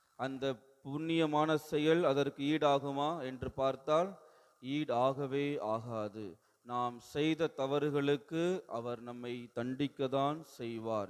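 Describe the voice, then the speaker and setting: A man at a fairly high pitch, an ordinary speaking voice. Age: young. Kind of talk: sermon.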